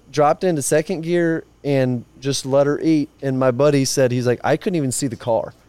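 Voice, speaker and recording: A man with an American accent and an ordinary speaking voice, fairly high-pitched, at a moderate pace, in a dry, close sound with no echo. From Nebraska, near Omaha. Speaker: rodeo bullfighter. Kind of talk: casual chat. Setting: outdoors.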